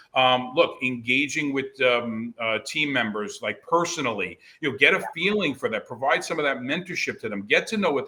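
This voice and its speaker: A man speaks at a fairly quick pace with an American accent. His pitch is medium, with ordinary variation. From New Jersey, US. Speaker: network marketing leader. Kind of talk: podcast interview.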